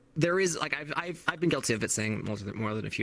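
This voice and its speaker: The intonation here is lively. A man delivers his words at a very fast pace. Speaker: streamer. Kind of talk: casual chat. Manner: animated, ranging from calm to explosive; fast, halting with many fillers.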